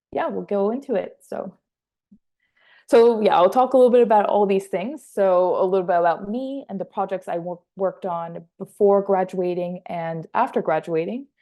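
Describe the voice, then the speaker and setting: A woman talks at a moderate pace with a slight French Canadian accent. Her medium pitch shows ordinary variation. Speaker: assistant film editor. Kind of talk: workshop presentation.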